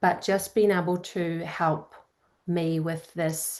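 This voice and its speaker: A woman speaks at a fairly low pitch with an Australian accent. The background is quiet. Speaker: psychology grad student. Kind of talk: coaching session.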